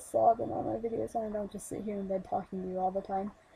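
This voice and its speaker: A woman's somewhat breathy voice rushes along at a very fast pace. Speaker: movie reviewer. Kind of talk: casual talk to camera.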